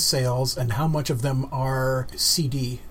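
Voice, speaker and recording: Noticeable background noise runs beneath a man who talks very slowly. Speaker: radio show host. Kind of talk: casual interview. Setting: radio studio.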